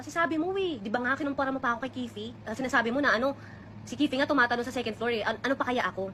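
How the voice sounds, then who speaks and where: A woman speaks at a very fast pace in a raised, projected voice, high in pitch with ordinary pitch variation. Noticeable background noise runs underneath. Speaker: vlogger. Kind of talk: personal storytelling. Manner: stutter.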